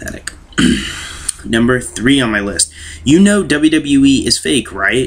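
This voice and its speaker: A man with a medium pitch speaks at a fairly slow pace, his pitch swinging very widely. Long, frequent pauses break up his speech amid noticeable background noise. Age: 20s. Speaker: gaming YouTuber. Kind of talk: casual vlog monologue.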